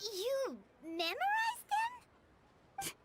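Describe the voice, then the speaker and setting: A squeaky put-on character voice from a woman, extremely high in pitch, with lively intonation. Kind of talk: incredulous question. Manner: surprised.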